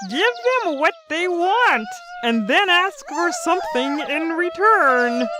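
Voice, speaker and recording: Over clear background noise, a woman uses a put-on character voice at an extremely high pitch. She speaks at a fairly slow pace. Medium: audio drama. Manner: dry, knowing.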